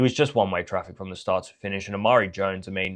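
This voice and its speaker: A man with a fairly low pitch and fairly even intonation at a very fast pace, against a quiet background. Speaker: boxing commentator YouTuber. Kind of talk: casual fight review.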